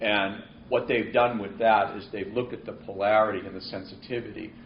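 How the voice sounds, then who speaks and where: A voice in a Boston accent with audible room echo. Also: man. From New England (Boston). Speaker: marine weather forecaster. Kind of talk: seminar Q&A. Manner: halting, many repeats.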